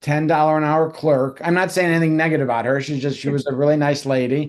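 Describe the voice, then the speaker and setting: Fairly even intonation in a normal speaking voice. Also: man. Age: 60s. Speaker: realtor. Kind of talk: interview.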